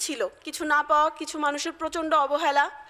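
Her voice is raised and projected, a woman's with a bright, sharp tone. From Bangladesh, Faridpur; Bangladesh. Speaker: civil servant, diplomat; speaker. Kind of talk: motivational speech. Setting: seminar hall with audience. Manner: formal. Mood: earnest, emotional. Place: hall. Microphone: podium.

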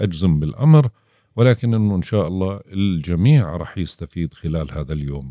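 Speaking at a moderate pace with a Jordanian accent, a man uses a dark, mellow tone and very wide pitch swings, recorded with a dry, close sound with no echo against a quiet background. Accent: Levantine (Jordanian) Arabic. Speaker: astrologer. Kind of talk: horoscope forecast monologue. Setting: studio.

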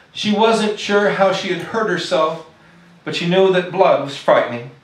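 There is audible room echo as a man with a high voice talks at a fairly slow pace. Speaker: poet. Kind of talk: poetry reading. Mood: soft, tender, sorrowful. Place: stage. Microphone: podium.

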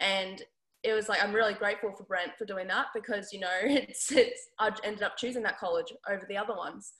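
A woman with an Australian accent talks at a fairly quick pace in a medium pitch. Her intonation stays fairly even over a quiet background. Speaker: basketball player. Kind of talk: interview. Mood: relaxed, friendly. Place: home room. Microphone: video call.

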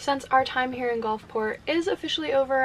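Speaking at a fairly quick pace, a woman shows ordinary pitch variation. Light noise sits in the background. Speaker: van life vlogger. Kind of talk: casual vlog chat. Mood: relaxed, reflective. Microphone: phone near.

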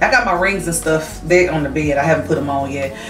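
Clear music plays in the background as a woman talks at a moderate pace amid audible room echo. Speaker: vlogger. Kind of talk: casual vlog chat. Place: home room. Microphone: camera far.

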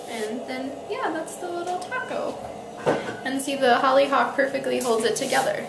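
A woman with a high pitch and vocal fry talks at a moderate pace. Her intonation is lively, and background noise is clearly heard.

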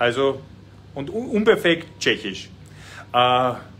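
A man speaks with an Austrian accent over light background noise. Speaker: cooking show host and politician. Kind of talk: casual chat while cooking. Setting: home kitchen, live stream. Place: kitchen. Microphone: phone near.

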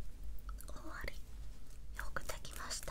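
She whispers. Her delivery is very slow. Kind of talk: soft-spoken roleplay, addressing viewer. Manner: soft, gentle ASMR voice, soothing.

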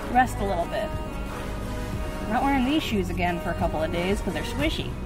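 The speech runs at a fairly quick pace over clear music in the background. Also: woman. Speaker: vlogger. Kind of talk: casual vlog chat. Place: car. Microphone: phone near.

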